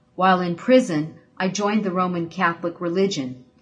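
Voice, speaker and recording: A woman with a medium pitch speaks in a somewhat breathy voice. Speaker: ministry assistant. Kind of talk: reading aloud.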